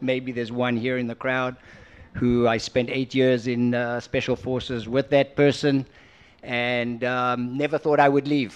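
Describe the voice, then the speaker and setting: Speaking at a moderate pace, a man uses a medium pitch. His intonation is monotone and flat. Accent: slight South African. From South Africa, moved to Israel at five. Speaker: entrepreneur and investor. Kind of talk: on-stage interview. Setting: conference stage with audience.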